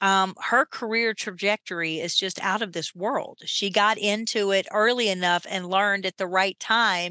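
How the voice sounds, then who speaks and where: A woman of medium pitch speaks at a moderate pace with fairly even intonation and a bright, sharp tone, the sound dry and close with no echo against a quiet background. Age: 50s. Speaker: privacy attorney and compliance executive. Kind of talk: podcast interview.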